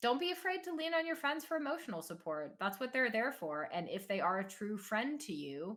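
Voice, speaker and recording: Loud and bright with a sharp edge, a woman speaks at a moderate pace with lively intonation. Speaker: gaming content creator and streamer. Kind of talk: casual chat.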